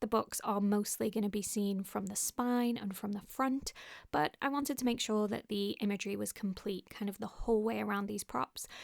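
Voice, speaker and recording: The woman's pitch rests in a medium range. It moves up and down in an ordinary way. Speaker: craft youtuber. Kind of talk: tutorial. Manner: fast.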